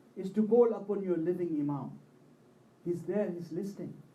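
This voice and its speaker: A man speaks with a dark, mellow tone. There is audible room echo. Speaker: Shia religious speaker. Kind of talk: religious majlis sermon.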